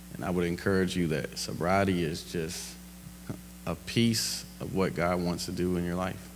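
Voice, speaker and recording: There is audible room echo around this man's very deep, low voice. He talks at a moderate pace with lively intonation. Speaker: guest speaker. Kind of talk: testimony. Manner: loud.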